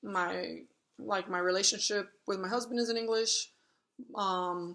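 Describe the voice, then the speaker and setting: Her tone bright and sharp, a woman speaks at a medium pitch with fairly even intonation. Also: fairly slow pace. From Miami, Florida (Cuban-American). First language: Spanish. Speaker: home health agency owner. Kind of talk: interview.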